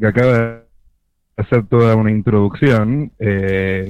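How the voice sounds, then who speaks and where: With monotone, flat intonation, a man speaks. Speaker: field reporter. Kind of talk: live remote report. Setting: remote call from an event. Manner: soft-spoken. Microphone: delay on the line.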